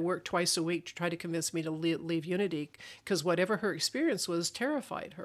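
In a very clean recording with a silent background, a woman uses a normal speaking voice at a fairly low pitch and a moderate pace. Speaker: minister and podcast host. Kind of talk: interview chat.

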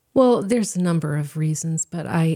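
This woman has an American accent. Her voice carries a dark, mellow tone. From South Korea (Seoul), child of American missionaries. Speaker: painter and graphic designer. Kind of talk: casual interview.

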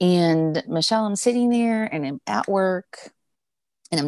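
In a dry, close recording with no echo, a woman with an American accent and an unremarkable speaking voice talks at a moderate pace and medium pitch with ordinary pitch variation. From US Northeast, rural Pennsylvania. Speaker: spiritual teacher and energy healer. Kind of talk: casual interview chat.

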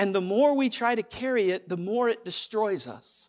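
Animated in tone, a man speaks at a moderate pace and high pitch with lively intonation. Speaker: preacher. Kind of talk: sermon, preacher in full flow, urgent call-and-response delivery. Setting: church. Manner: animated, emphatic, driving rhythm with repeated phrases and rhetorical questions.

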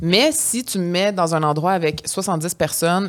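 A woman's fairly low voice with a Quebec accent and fairly even intonation. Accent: Québécois French. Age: 30s. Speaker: podcast co-host. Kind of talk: casual chat.

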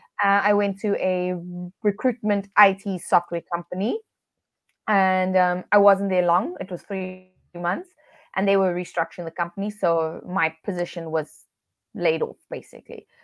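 A woman in a South African accent, medium in pitch, at a moderate pace, with monotone, flat intonation, dry, close sound with no echo, and a quiet background. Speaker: business coach, virtual assistant business owner. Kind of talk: interview. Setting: video call.

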